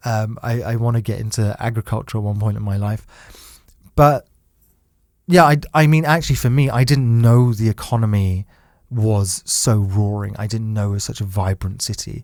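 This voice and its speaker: The recording is very clean, with nothing in the background. A man talks in a British accent. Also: medium pitch for a man, ordinary pitch variation, moderate pace. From UK. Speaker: podcast host, entrepreneur. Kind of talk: casual chat.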